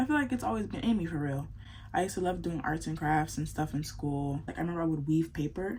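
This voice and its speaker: A woman whispering at a very fast pace, somewhat breathy. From US South, South Florida. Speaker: beauty vlogger. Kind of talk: casual chat. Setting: at home at night.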